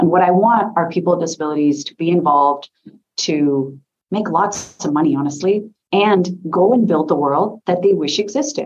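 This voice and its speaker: With an American accent and lively intonation, an unremarkable speaking voice moves at a moderate pace. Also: woman, fairly low pitch for a woman. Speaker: tech accessibility leader. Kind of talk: panel discussion. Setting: online seminar.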